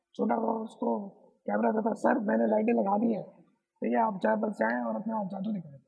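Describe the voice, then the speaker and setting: A man talks at a moderate pace, his pitch high and swinging very widely. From Pakistan, Karachi. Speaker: photographer. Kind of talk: interview.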